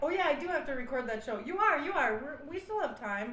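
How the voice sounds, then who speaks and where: A woman with an American accent, high-pitched, at a fairly quick pace, with audible room echo and noticeable background noise. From Milwaukee, Wisconsin. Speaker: comedy radio show host. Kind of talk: comedy sketch and interview. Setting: studio.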